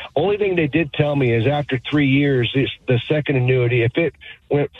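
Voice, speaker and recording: This man has a normal speaking voice, with ordinary pitch variation at a moderate pace. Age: 60s. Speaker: carpenter calling in. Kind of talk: radio call-in question.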